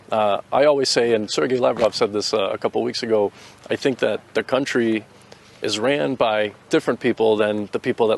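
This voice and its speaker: A man with a Boston accent at medium pitch, ordinary pitch variation and a fairly quick pace, in a dry, close sound with no echo and noticeable background noise. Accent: Boston American English. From US Northeast, Boston. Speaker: volunteer soldier, US Air Force veteran. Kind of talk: interview answers. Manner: hesitant, repetitive fillers.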